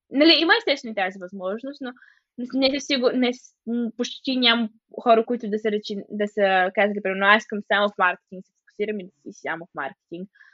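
A fairly quick, fairly high-pitched woman's voice with ordinary pitch variation and big swings in loudness. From Bulgaria, Stara Zagora. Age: 20s. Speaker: final-year university student. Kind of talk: interview. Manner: halting, many filler sounds.

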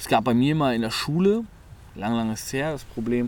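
Fairly quick speech from a man at a medium pitch, amid audible room echo. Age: 20s. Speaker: podcast co-host. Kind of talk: casual chat.

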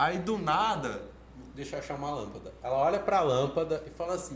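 Spoken at a moderate pace, the voice carries an audible room echo. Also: man. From Brazil, family from Bahia. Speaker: public speaking teacher and HR worker. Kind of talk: casual interview.

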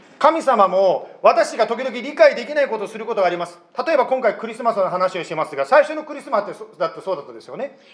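Very fast speech with big swings in loudness and very wide pitch swings comes through noticeable background noise. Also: man, extremely high pitch for a man. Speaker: pastor. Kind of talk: sermon. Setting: church.

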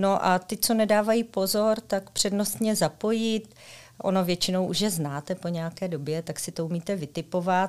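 This woman has an unremarkable speaking voice, medium in pitch with ordinary pitch variation and big swings in loudness. She talks at a moderate pace with hardly any pauses, in a very clean recording with a silent background. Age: 40s. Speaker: secondary school teacher. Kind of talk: interview.

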